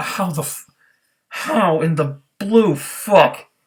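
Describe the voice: Speaking slowly, a man with a fairly high pitch and a slightly husky edge shows ordinary pitch variation.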